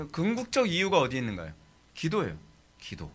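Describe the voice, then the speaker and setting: A man's bright, sharp tone comes out in a raised, projected voice. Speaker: pastor teaching theology. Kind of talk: sermon lecture.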